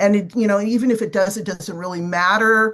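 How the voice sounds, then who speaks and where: A woman has a normal speaking voice with medium pitch and ordinary pitch variation. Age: 60s. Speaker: business owner living with type 2 diabetes. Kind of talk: podcast interview.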